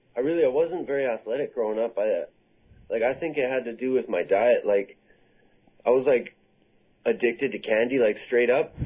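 Someone with a Canadian accent talks at a fairly quick pace with ordinary pitch variation, taking long, frequent pauses. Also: man, medium pitch for a man. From Canada. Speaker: mixed martial arts fighter. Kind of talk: interview. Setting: video call. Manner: halting.

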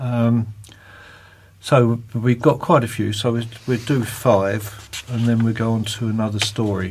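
In a British accent, a man speaks with a medium pitch, a somewhat breathy quality and fairly even intonation. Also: fairly slow pace. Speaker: magazine host. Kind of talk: casual chat, magazine presenting.

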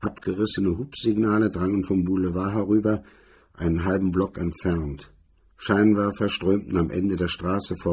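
Someone reading aloud in a natural voice, intonation kept fairly even.

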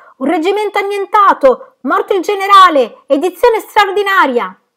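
An extremely high put-on character voice from a woman, bright and sharp in tone, with lively intonation at a moderate pace

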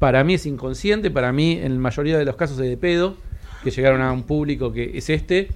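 The speaker has an unremarkable speaking voice. They talk at a fairly quick pace with lively intonation. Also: man. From Argentina, Patagonia (Cipolletti). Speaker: comedy producer. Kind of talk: panel discussion. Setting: stage with live audience.

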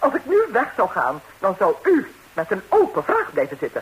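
A woman puts on a character voice with a husky, rough edge. Her medium pitch makes very wide swings. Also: moderate pace.

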